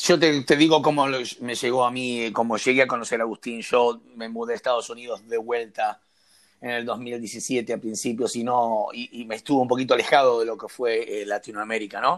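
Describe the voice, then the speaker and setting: An unremarkable speaking voice from a man, medium in pitch with fairly even intonation and big swings in loudness, at a moderate pace on a very clean recording with a silent background. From Argentina. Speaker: podcast co-host. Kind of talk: interview.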